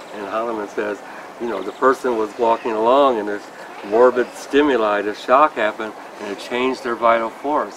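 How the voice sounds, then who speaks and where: This man has an American accent, a medium pitch and fairly even intonation at a moderate pace. His loudness swings widely, and there is noticeable background noise. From United States. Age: 60s. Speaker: homeopathic doctor and teacher. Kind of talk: interview. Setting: summer school in Prague.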